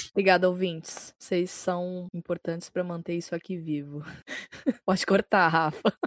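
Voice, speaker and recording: Recorded very cleanly against a silent background, with a dry, close sound and no echo, a woman speaks at a fairly low pitch and a moderate pace in monotone, flat intonation. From São Paulo city, Brazil. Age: 20s. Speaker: designer and musician. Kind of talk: casual chat.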